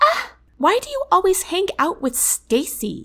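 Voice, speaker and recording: A woman puts on a squeaky character voice at an extremely high pitch. She goes at a fairly slow pace with very wide pitch swings. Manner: protesting, whiny.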